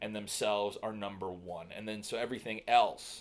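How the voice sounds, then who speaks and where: A man with an American accent, fairly low in pitch, at a fairly quick pace with fairly even intonation. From New York City (Staten Island). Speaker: digital marketer and filmmaker. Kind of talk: podcast interview. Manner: halting, many fillers and repeats.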